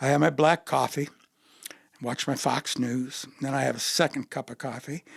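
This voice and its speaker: A man speaks in a flat monotone with vocal fry and big swings in loudness. The sound is dry and close, with no echo. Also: fairly high pitch for a man, moderate pace. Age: 70s. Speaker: retired educator, army veteran and amateur dancer. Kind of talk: casual interview chat.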